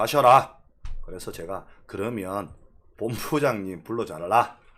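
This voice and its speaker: A man with a Gyeongsang accent talks very slowly in a fairly low pitch with ordinary pitch variation. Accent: Korean regional dialect (Gyeongsang). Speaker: real estate YouTuber. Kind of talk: live-streamed lecture.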